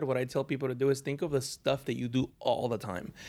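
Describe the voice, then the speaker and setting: A man with a Spanish accent, fairly high in pitch and fairly quick in pace, on a very clean recording with a silent background. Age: 30s. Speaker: designer and Photoshop trainer. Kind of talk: casual interview chat. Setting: in person at an event in Las Vegas.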